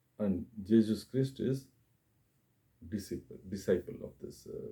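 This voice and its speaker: In a Tamil accent, a man speaks at a very slow pace. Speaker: YouTuber, religious commentator. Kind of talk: monologue talk to camera. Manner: halting, many fillers.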